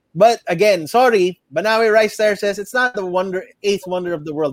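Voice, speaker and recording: A man with a high pitch talks at a moderate pace. The sound is dry and close, with no echo. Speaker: podcast co-host. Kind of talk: casual chat. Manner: code-switching English and Tagalog.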